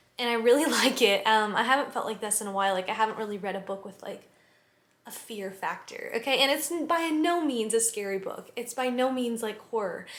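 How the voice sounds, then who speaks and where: Fairly high-pitched woman's voice at a fairly quick pace, ordinary pitch variation, audible room echo. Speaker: book vlogger. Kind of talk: casual vlog chat. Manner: fast, chatty with many fillers.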